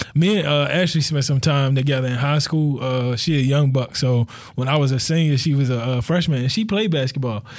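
A man speaks fairly quickly with hardly any pauses and very even loudness, at a fairly high pitch with ordinary pitch variation. Noticeable background noise is present. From Baltimore, Maryland (Cherry Hill, South Baltimore). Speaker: podcast director and community organizer. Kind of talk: casual chat.

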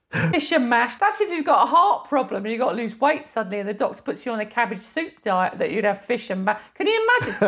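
A woman with a high voice speeds along at a very fast pace with hardly any pauses and very wide pitch swings, over noticeable background noise. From southern England. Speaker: podcast co-host, comedy writer. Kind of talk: casual chat.

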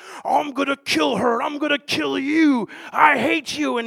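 Put-on character voice from a man, extremely high in pitch, at a moderate pace. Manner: hateful, threatening.

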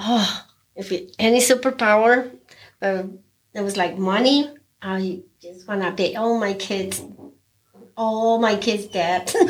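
A woman speaks at a very slow pace with long, frequent pauses. Her pitch is medium, with ordinary variation. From Mexico. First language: Spanish. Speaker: restaurant owner and cook. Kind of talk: casual interview. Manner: non-native, simple grammar.

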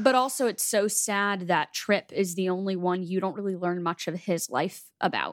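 With hardly any pauses, a woman talks at a moderate pace in a normal speaking voice of medium pitch and ordinary pitch variation, recorded very cleanly against a silent background. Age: 20s. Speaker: podcast co-host. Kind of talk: casual chat.

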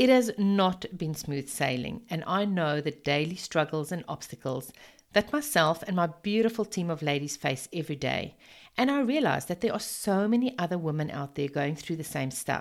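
In a South African accent, a woman speaks at a moderate pace with a fairly low pitch, very wide pitch swings and a warm, enthusiastic tone. The recording is very clean, with a silent background. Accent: Afrikaans-accented English. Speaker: network marketing business coach. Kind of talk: podcast monologue, business talk.

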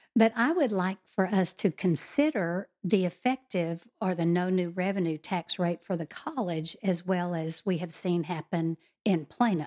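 An ordinary speaking voice from a woman, medium in pitch with ordinary pitch variation, at a fairly slow pace with hardly any pauses, in dry, close sound with no echo. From Texas. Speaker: political candidate. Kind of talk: interview.

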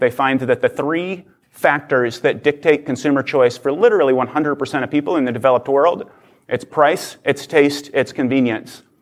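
Over a quiet background, a man with an American accent uses a normal speaking voice with fairly high pitch, a moderate pace and fairly even intonation. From Oklahoma. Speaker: nonprofit leader. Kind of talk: conference talk. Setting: stage with audience.

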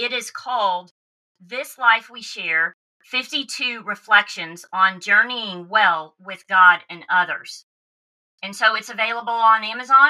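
With a Southern US accent, a woman speaks at a very slow pace. Her loudness swings widely, while her pitch varies in an ordinary way. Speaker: podcast host. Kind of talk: casual interview chat.

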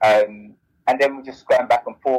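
A man speaks with a South London accent. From South London (Bermondsey). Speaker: author and business founder. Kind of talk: interview.

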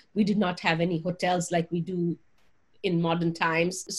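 Somewhat breathy, a woman speaks at a medium pitch and a moderate pace. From Punjab, India. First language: Punjabi. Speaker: religion professor. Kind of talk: interview. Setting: video call.

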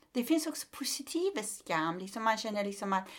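A woman with a Persian accent speaks with lively intonation. The recording is very clean, with a silent background. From Iran. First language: Persian (speaking Swedish). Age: 50s. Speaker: comedian and human rights activist. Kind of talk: casual interview.

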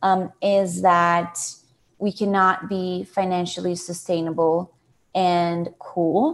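Here a woman with a Portuguese accent speaks at a very slow pace and medium pitch. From Brazil, Sao Paulo. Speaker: nonprofit CEO. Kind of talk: interview.

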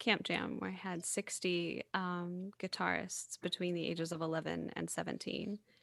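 With an American accent, a woman speaks at a fairly slow pace in a fairly low pitch, her tone bright and sharp, the sound dry and close with no echo. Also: hardly any pauses, very clean recording, silent background. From US South. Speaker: podcast host, singer-songwriter. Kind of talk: casual interview chat.

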